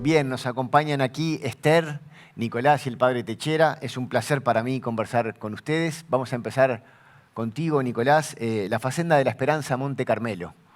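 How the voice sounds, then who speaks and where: A man speaks at a moderate pace and medium pitch in a plain, everyday voice with ordinary pitch variation. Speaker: TV presenter. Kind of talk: interview.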